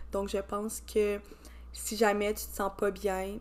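A woman talks with a Quebec accent. Her pace is very slow. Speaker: podcast host. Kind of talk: podcast intro; interview.

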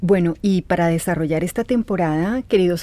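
A woman's fairly low, dark, mellow voice in a very clean recording with a silent background. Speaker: podcast host. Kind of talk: reflective monologue. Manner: slow, calm; halting, with fillers and repeats.

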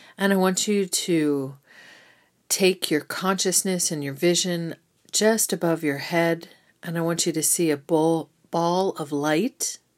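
Speaking at a fairly slow pace, a woman uses a normal speaking voice with fairly low pitch and fairly even intonation. The recording is very clean, with a silent background. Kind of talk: guided meditation. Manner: slow, soothing, calm and gently instructive; warm, unhurried pacing with pauses.

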